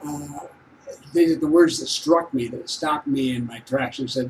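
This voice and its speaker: With noticeable background noise behind him, a man speaks at a fairly high pitch with ordinary pitch variation. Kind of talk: casual talk to camera.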